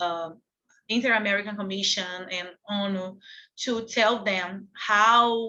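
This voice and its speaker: Speaking with a Portuguese accent, a woman keeps a fairly slow pace. Her intonation is fairly even. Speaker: activist. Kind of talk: panel talk. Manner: halting.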